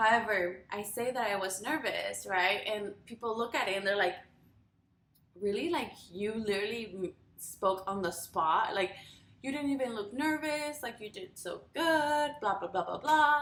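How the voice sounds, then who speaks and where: Speaking at a fairly slow pace, a woman has a Spanish accent and a medium pitch. Her intonation is lively. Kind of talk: casual talk to camera.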